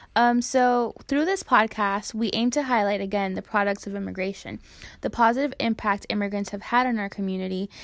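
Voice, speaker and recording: Recorded very cleanly against a silent background, a woman with an American accent and a normal speaking voice talks fairly quickly at a fairly high pitch with fairly even intonation. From Hialeah, Miami, Florida. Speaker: podcast co-host, product manager in tech. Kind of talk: casual chat.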